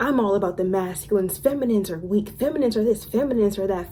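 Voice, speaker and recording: A woman's animated tone with ordinary pitch variation over noticeable background noise. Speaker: lifestyle and spirituality YouTuber. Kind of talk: casual storytime monologue. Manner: stumbling, stuttering over words.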